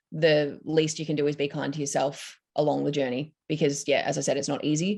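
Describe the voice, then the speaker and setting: In a very deep, low pitch, a woman talks at a moderate pace on a very clean recording where the background is silent. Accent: Australian. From Australia, Victoria. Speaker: psychology student panelist. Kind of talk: panel discussion.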